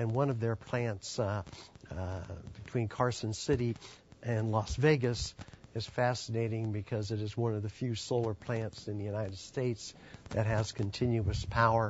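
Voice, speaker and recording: Intonation stays fairly even at a moderate pace. There is a somewhat breathy quality to the voice. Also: man, medium pitch for a man. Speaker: panel moderator, energy policy expert. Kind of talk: moderated panel introduction. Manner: halting, many fillers.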